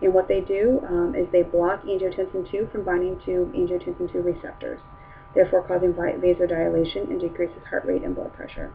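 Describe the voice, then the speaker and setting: A woman speaks at a fairly quick pace while noticeable background noise runs underneath. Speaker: nurse giving an educational presentation. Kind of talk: lecture. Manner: fast.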